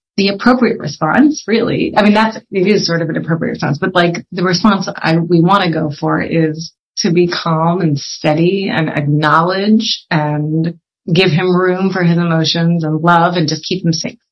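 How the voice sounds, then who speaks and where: Speaking at a moderate pace with ordinary pitch variation, a woman with an American accent has a fairly low, somewhat breathy voice. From Pennsylvania, US (Philadelphia area). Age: 40s. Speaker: social entrepreneur. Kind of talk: interview. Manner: halting.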